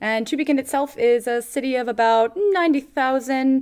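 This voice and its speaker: A woman speaks in a West Coast US accent on a very clean recording with a silent background. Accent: US West Coast American English. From US, Oregon. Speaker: podcast co-host. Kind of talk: casual chat. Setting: studio.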